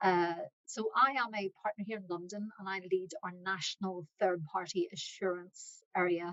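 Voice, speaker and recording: A woman with a medium-pitched voice speaks at a moderate pace in a dry, close sound with no echo. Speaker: accounting firm partner. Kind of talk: webinar presentation. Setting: online webinar.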